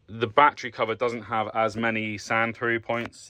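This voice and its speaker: Speaking with a British accent, a man talks at a moderate pace with a fairly low pitch. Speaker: car hobbyist YouTuber. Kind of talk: DIY tutorial vlog. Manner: casual, many fillers.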